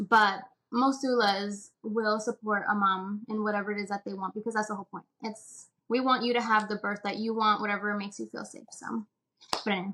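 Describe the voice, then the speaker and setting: A woman with a Spanish accent talks at a fairly quick pace in a monotone, flat way, her fairly high, bright, sharp voice swinging widely in loudness. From Puerto Rico. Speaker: doula. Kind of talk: casual interview chat.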